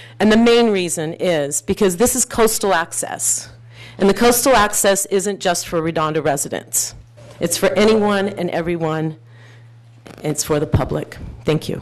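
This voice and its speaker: Noticeable background noise sits behind a woman with an American accent. She speaks at a medium pitch and a moderate pace with lively intonation. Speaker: activist, public commenter. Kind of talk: public comment at council meeting. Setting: city council chamber. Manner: loud.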